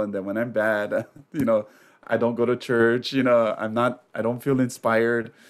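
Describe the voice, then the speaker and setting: Here is a man with an ordinary speaking voice, speaking at a moderate pace and a medium pitch. The recording is very clean, with a silent background. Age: 40s. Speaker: podcast guest. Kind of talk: casual interview chat.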